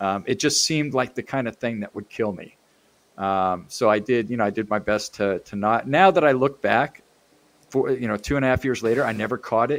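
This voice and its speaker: A plain, everyday voice from a man, medium in pitch with ordinary pitch variation, at a moderate pace. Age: 60s. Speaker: CAD user group organizer. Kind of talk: casual chat.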